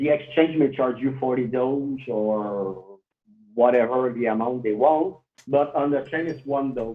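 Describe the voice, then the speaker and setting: In a French Canadian accent, a man speaks at a medium pitch. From Quebec, Canada. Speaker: cryptocurrency developer. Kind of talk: interview.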